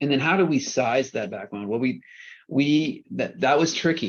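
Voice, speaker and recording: This man talks at a fairly quick pace with vocal fry. His pitch varies in an ordinary way. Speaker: energy researcher. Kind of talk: technical presentation. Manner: fast.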